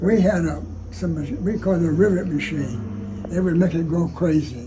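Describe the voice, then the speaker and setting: Music plays in the background as a man with a fairly high pitch talks at a moderate pace, his pitch swinging very widely. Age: 80s+. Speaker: retired Air Force pilot, war veteran. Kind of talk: interview answer.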